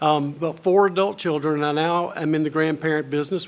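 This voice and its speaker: A man's fairly high-pitched, normal speaking voice at a moderate pace, with ordinary pitch variation. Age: 60s. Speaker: commencement speaker. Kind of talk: commencement speech. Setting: stage with audience.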